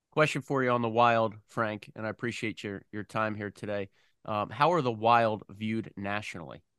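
An unremarkable speaking voice with an American accent talks at a moderate pace with normal pitch movement. The sound is dry and close with no echo, over a quiet background. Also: man, fairly low pitch for a man. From Philadelphia area, US. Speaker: radio play-by-play hockey broadcaster, podcast host. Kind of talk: podcast interview; solo podcast monologue.

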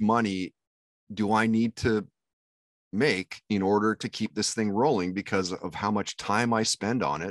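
A man talks in an unremarkable speaking voice at a fairly low pitch and a fairly slow pace. The sound is dry and close with no echo, against a quiet background. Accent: Canadian. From Canada. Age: 40s. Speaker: radio DJ and podcaster. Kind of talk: casual chat.

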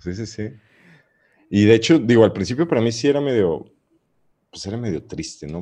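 A man speaks with a fairly low pitch and a dark, mellow tone. His intonation is lively, and the background is quiet. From Guadalajara, Jalisco, Mexico. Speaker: podcast guest. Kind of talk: casual chat.

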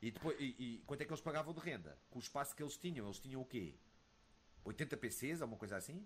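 At a very fast pace, a man talks at a medium pitch with vocal fry. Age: 30s. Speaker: retired esports player. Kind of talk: casual interview.

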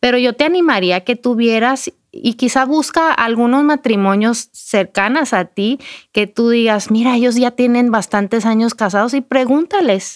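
Her high-pitched voice has ordinary pitch variation and very even loudness as the woman talks at a fairly slow pace, in a dry, close sound with no echo. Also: hardly any pauses. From Mexico, Durango. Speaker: writer and speaker. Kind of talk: interview. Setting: studio.

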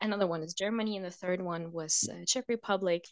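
Against a quiet background, a woman with a Russian accent is heard in a dry, close sound with no echo. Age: 20s. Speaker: podcast guest. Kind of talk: casual chat.

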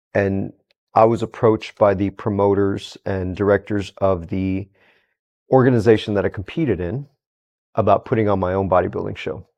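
A man speaks with a Texan accent at a moderate pace. The background is quiet. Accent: Texan American English. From Houston, Texas (Mexican-born parents). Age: 30s. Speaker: entrepreneur, bodybuilding event promoter, ex-paramedic. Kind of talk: casual chat. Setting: studio.

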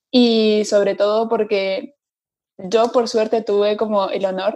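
A woman's fairly high voice in a dark, mellow tone, with monotone, flat intonation. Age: 20s. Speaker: hotel sales worker. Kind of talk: podcast interview. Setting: video call.

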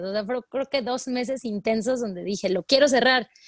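Against a quiet background, a woman with a plain, everyday voice talks at a fairly quick pace in a fairly high pitch with ordinary pitch variation. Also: dry, close sound with no echo. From Mexico, Puebla. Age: 30s. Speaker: life coach. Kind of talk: interview.

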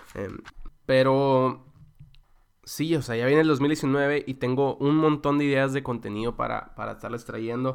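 At a fairly slow pace with long, frequent pauses, a man speaks in a Mexican accent at a medium pitch and with fairly even intonation. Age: 20s. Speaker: podcast host. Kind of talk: solo podcast monologue. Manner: casual, with frequent fillers and repetitions.

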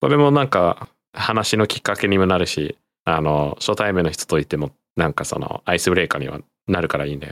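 In a dry, close sound with no echo, a man with a very deep, low pitch talks at a fairly quick pace, with lively intonation and big swings in loudness. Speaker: podcast co-host. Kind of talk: casual chat.

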